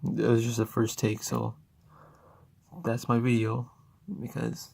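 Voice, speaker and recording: Quiet and very slow, a man's medium-pitched voice with ordinary pitch variation and long, frequent pauses comes through a very clean recording with a silent background. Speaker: gaming YouTuber. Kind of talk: unscripted unboxing vlog. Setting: at home. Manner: halting, many fillers; speaking quietly.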